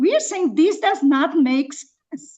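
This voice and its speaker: Speaking with a non-native accent, a woman at an extremely high pitch uses lively intonation at a fairly slow pace. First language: not English. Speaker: public commenter at planning meeting. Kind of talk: public comment. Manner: halting; impassioned.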